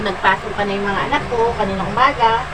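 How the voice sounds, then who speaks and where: Audible room echo and noticeable background noise accompany speech at a fairly quick pace. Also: woman. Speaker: vlogger, stay-at-home mother. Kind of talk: casual vlog chat. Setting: at home, alone. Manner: soft-spoken.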